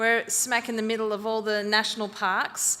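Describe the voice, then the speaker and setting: A woman's fairly high, bright, sharp voice in an Australian accent at a fairly quick pace. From rural northern New South Wales, Australia. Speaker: school founder. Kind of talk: presentation to an audience.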